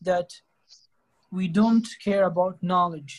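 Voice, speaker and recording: The speaker has an Arabic accent. The pace is fairly slow. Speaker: English conversation club host. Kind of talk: casual conversation practice.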